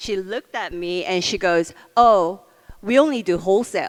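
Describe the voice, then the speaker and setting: A woman talks with a medium pitch and ordinary pitch variation. Her pace is moderate. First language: not English. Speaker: beauty company founder. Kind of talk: onstage interview.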